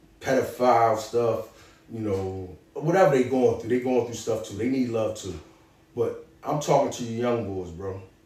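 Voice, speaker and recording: With big swings in loudness, a man talks at a moderate pace and medium pitch, with ordinary pitch variation and audible room echo. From Philadelphia, North Philly. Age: 40s. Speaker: former prisoner turned author and clothing entrepreneur. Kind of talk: motivational advice in an interview. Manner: animated.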